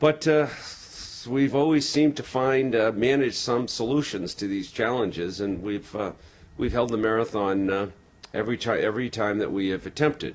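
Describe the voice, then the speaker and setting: Here is a man with an American accent and an unremarkable speaking voice. His pitch is medium, his pace moderate and his pitch variation ordinary. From Boston. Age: 50s. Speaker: marathon tour organizer. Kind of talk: interview.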